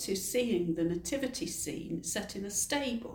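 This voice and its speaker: Using a normal speaking voice, a woman talks at a fairly slow pace. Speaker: heritage interpretation officer. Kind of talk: casual interview. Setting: in a cathedral.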